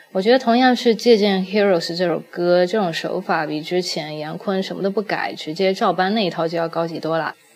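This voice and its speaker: A woman at a medium pitch, talking at a fairly quick pace with hardly any pauses, amid noticeable background noise. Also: ordinary pitch variation. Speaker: guest podcast host. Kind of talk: casual podcast talk about music.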